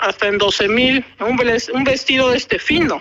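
A woman speaks at a high pitch and a moderate pace with ordinary pitch variation. There is noticeable background noise. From Oaxaca, Mexico (Ocotlán). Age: 40s. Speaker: textile artisan. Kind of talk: interview.

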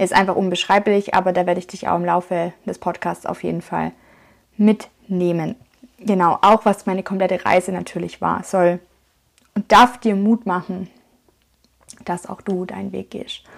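A woman at a medium pitch speaks at a moderate pace in a flat monotone with vocal fry, long, frequent pauses and big swings in loudness. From Swabia, Germany (Schwäbisch Hall). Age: 30s. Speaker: podcaster and life coach. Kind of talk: motivational monologue. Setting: home.

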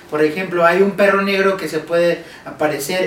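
Audible room echo and noticeable background noise surround a high-pitched man who speaks at a fairly quick pace with fairly even intonation. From Mexico. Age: 20s. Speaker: podcast guest, friend of host. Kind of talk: casual chat.

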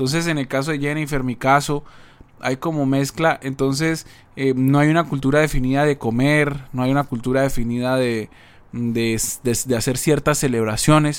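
A man talks at a moderate pace and a fairly high pitch. It is a plain, everyday voice with fairly even intonation. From Colombia. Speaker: podcast co-host. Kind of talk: casual chat.

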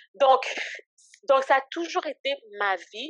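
Delivered at a very slow pace, the speech has lively intonation and a dry, close sound with no echo. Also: woman. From Canada, Ottawa area, Haitian-born. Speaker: ministry founder. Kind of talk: casual interview, faith testimony. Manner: hesitant, many fillers.

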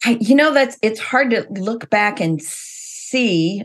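Speaking fairly slowly, a woman uses lively intonation in a normal speaking voice. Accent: American. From US Midwest, Missouri. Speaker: event business owner. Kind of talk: interview conversation. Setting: video call.

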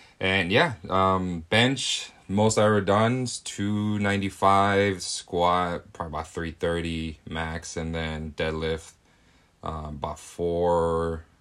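Very deep and low in pitch, a man speaks at a very slow pace with ordinary pitch variation. The recording is very clean, with a silent background. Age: 20s. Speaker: podcast co-host. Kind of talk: casual chat.

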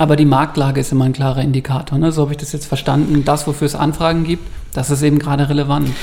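This man has a dark, mellow tone at a fairly high pitch, talking at a very fast pace with monotone, flat intonation and a somewhat breathy sound. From Bavaria, Ingolstadt. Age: 30s. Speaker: press office editor and photographer. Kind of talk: casual chat.

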